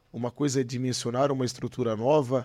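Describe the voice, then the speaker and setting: A man with a dark, mellow tone and medium pitch speaks at a fairly quick pace in a monotone with flat intonation, in a very clean recording with a silent background and a dry, close sound with no echo. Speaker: podcast host. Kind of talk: casual interview. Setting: studio, live stream.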